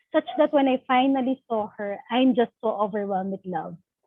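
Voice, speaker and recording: Her pitch is high and she talks at a moderate pace, this woman using ordinary pitch variation. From Philippines. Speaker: workshop participant. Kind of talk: personal testimony in online workshop. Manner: halting, many fillers.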